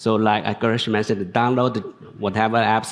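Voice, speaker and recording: The speaker is a man. His voice sits at a medium pitch. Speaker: tech executive and researcher. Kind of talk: panel discussion. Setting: conference stage with audience. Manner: halting, many false starts.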